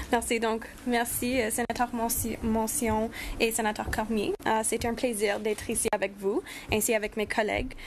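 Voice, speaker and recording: Noticeable background noise sits behind a woman with a Spanish accent and a fairly high pitch. She speaks fairly slowly, in a monotone, flat intonation at very even loudness. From Saskatchewan. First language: Spanish (speaking French). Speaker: youth advocate. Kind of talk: prepared speech. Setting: round table.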